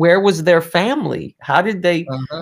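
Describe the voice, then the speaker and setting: A man speaks at a moderate pace with ordinary pitch variation, on a very clean recording with a silent background. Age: 30s. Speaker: magician. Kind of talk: casual chat. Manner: halting.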